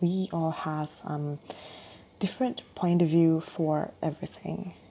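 Using a non-native accent, a woman speaks fairly slowly with a fairly low pitch, a dark, mellow tone and ordinary pitch variation. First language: not English. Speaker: solo podcaster. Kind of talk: casual monologue. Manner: hesitant, many fillers.

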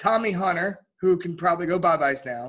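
A man talks in a high-pitched voice. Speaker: sports podcast host. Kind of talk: casual chat.

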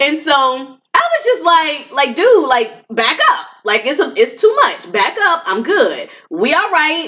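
Her high-pitched voice is raised and projected, with very wide pitch swings. The woman speaks at a very slow pace with hardly any pauses. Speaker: podcast co-host, marriage coach. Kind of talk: live event recap, casual chat.

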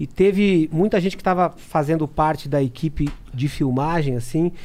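A man's high voice, dark and mellow, with ordinary pitch variation. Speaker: drummer. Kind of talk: casual chat.

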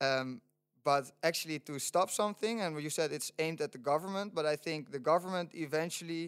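In a Dutch accent, a man speaks at a fairly quick pace with a fairly high pitch and ordinary pitch variation. The sound is dry and close with no echo. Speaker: student sustainability organizer. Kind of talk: casual chat. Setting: studio.

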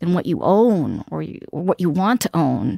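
A woman's plain, everyday voice at medium pitch, fairly slow and with lively intonation, on a very clean recording with a silent background and a dry, close sound with no echo. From New York City, Queens. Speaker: news editor and real estate journalist. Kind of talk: interview conversation.

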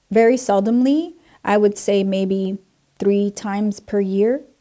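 At a very slow pace, a woman talks in a medium pitch with a dark, mellow tone. Her pitch varies in an ordinary way. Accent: New Jersey. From New Jersey, Puerto Rican family. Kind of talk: personal testimony.

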